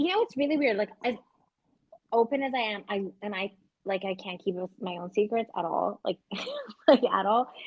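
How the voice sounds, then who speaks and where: In a Canadian accent, a woman with a fairly high pitch speaks in an animated tone at a moderate pace with ordinary pitch variation and long, frequent pauses. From Canada, Vancouver. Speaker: podcast co-host. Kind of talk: casual chat. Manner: loud.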